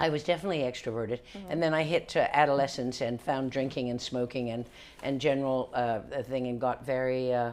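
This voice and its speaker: A woman speaks at a very fast pace. Her pitch is very deep and low, with ordinary variation. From Newfoundland, Canada. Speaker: actor, comedian, author. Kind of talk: interview answer.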